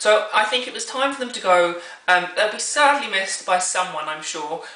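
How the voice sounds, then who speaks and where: Lively intonation and big swings in loudness come through over noticeable background noise and audible room echo. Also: woman, medium pitch for a woman. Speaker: YouTube vlogger. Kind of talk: casual vlog commentary. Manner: fast.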